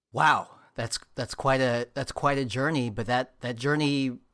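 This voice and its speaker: At a moderate pace and medium pitch, a man uses an ordinary speaking voice in a very clean recording with a silent background. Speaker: podcast host. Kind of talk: scripted intro then interview. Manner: warm, upbeat.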